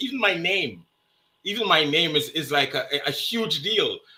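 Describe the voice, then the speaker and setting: This voice belongs to a man. He speaks with a Jamaican accent. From Jamaica, Kingston. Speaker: interview guest. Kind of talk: casual interview. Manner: repetitive stammering starts.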